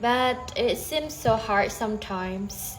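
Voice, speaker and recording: A woman with an Indonesian accent speaks in a fairly high voice with fairly even intonation, and audible room echo surrounds her. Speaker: stay-at-home mother, English learner. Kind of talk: casual chat. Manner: halting.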